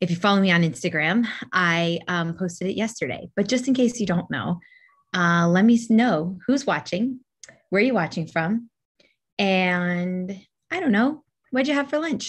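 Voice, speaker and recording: Against a quiet background, a woman talks at a moderate pace. Her intonation is lively. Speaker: livestream host. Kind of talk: casual vlog chat. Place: home room. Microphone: webcam.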